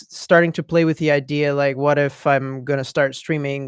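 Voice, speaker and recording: With a Dutch accent, a man speaks at fairly high pitch and fairly even intonation, in a dry, close sound with no echo and a very clean recording with a silent background. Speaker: streamer. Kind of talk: casual chat. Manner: halting.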